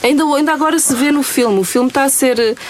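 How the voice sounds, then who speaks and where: Noticeable background noise accompanies a woman speaking with fairly even intonation. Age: 40s. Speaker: radio host. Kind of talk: casual interview.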